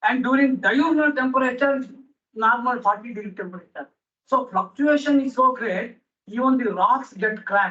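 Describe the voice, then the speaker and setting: A raised, projected male voice at an extremely high pitch, with ordinary pitch variation. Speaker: botany professor. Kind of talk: conference lecture. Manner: fast.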